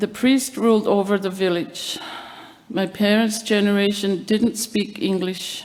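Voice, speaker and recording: A woman talks at a fairly slow pace with medium pitch. Her intonation stays fairly even, and background noise is noticeable. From Labrador, Canada (Innu community). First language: Innu. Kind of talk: award acceptance speech. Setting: evening event with audience. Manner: formal.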